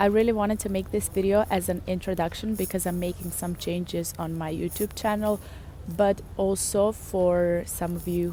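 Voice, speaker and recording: A woman with a Serbian accent speaks at a moderate pace. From Serbia, Belgrade. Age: 20s. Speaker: vlogger. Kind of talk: casual vlog talk to camera. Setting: outdoors in a park.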